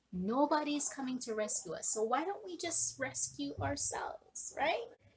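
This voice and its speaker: A woman speaks at a moderate pace with a Jamaican accent. Her tone is animated, and her pitch swings very widely. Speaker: online business coach. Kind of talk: motivational talk to camera.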